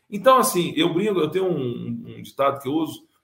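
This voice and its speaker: A man is talking. His pace is moderate. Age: 50s. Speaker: business owner. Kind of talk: interview.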